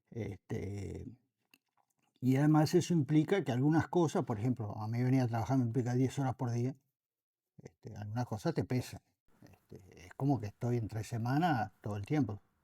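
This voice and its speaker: A man with a Uruguayan accent at medium pitch and a moderate pace, his tone dark, mellow and somewhat breathy, with ordinary pitch variation, big swings in loudness, and a very clean recording with a silent background. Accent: Rioplatense Spanish (Uruguayan). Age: 70s. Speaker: former anti-corruption official. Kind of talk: interview. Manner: hesitant, frequent fillers.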